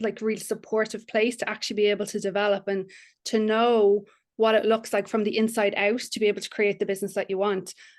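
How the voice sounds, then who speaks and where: A woman talking at a very fast pace in an Irish accent, with a quiet background. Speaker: business mentor. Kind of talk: podcast interview.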